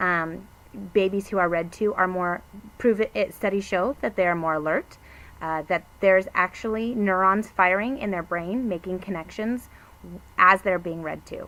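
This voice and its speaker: Her voice is a normal speaking voice, a woman's at medium pitch with ordinary pitch variation and a moderate pace. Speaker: book sales consultant. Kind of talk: product review.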